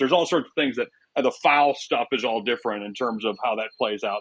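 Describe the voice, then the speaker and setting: This man has a plain, everyday voice at a medium pitch and talks at a fairly quick pace. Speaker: public address announcer. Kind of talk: interview answer. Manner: casual, conversational.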